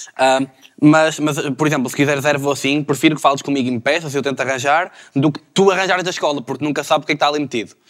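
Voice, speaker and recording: A man talks very fast in a fairly high register, with intonation that stays fairly even. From Portugal, Maia (Porto area). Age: 20s. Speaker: law student. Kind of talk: casual chat.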